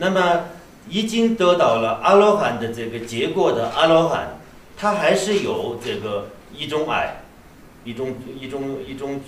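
The voice has a Tibetan accent and very wide pitch swings. Audible room echo and light background noise are present. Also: man. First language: Tibetan (speaking Chinese). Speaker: Buddhist abbot teacher. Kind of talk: dharma lecture. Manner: halting, many fillers and repetitions. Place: hall.

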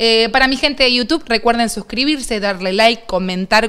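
Ordinary pitch variation marks an unremarkable speaking voice that proceeds at a moderate tempo. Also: woman. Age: 30s. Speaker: streamer, interviewer. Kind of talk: interview, casual chat. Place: studio.

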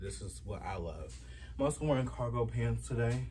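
Vocal fry at a moderate pace over light background noise. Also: man. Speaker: fashion vlogger. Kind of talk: casual vlog chat. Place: home room. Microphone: phone near.

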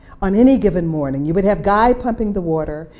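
The speaker is a woman. Her voice has a dark, mellow tone. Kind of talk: guided tour narration. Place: home room. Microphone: lapel.

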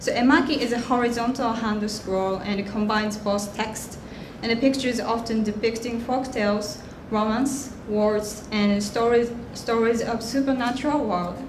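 A woman's fairly high voice holds fairly even intonation at a moderate pace, with noticeable background noise around her. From Japan. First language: Japanese. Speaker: artist; guest. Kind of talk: prepared presentation. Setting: stage with audience. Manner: hesitant. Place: hall. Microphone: podium.

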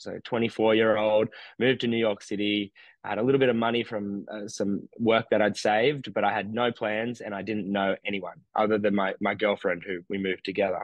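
In an Australian accent, a man talks at a moderate pace and a fairly low pitch with monotone, flat intonation, in a dry sound with no echo and a quiet background. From regional New South Wales, Australia. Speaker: meditation teacher; podcast guest, meditation teacher. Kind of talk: interview conversation. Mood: calm, warm, explanatory. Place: home room. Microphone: studio mic.

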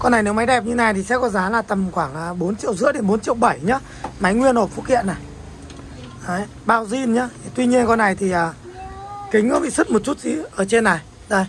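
The voice goes at a fairly quick pace, with light background noise. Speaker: phone seller. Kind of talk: product showcase commentary. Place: shop. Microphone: camera far.

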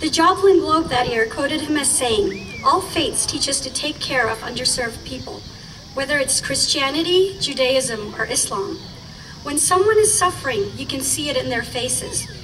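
Over noticeable background noise, a woman speaks at a high pitch. Her pace is moderate. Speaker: rally speaker, community member. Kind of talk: rally speech, warm and earnest, prepared remarks given to a crowd. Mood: earnest, solemn. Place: street.

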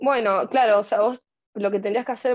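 Against a quiet background, a woman with a plain, everyday voice talks at a fairly high pitch with fairly even intonation. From Argentina. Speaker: fashion marketing student; speaker. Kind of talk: panel discussion. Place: home room. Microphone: earbuds.

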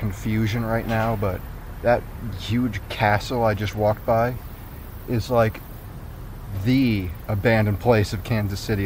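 A man speaks at a moderate pace with a fairly low pitch and monotone, flat intonation. The sound is dry with no echo, over light background noise. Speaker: urban explorer vlogger. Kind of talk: casual vlog chat. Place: street. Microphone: phone near.

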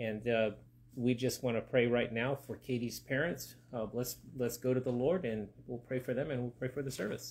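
Moderately paced male speech, intonation fairly even. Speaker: pastor. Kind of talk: prayer and sermon. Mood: calm, reverent. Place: home room. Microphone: phone near.

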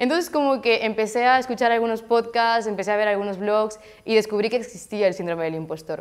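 A woman talks at a very fast pace in a fairly high pitch. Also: ordinary pitch variation, quiet background. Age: 20s. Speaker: graphic design graduate. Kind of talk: interview testimony. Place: studio. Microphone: lapel.

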